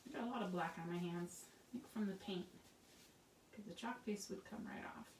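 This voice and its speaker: Quiet and somewhat breathy, a woman mumbles at a moderate pace. Her pitch is medium, with ordinary variation. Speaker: craft tutorial host. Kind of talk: tutorial. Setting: home craft studio. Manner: casual, chatty.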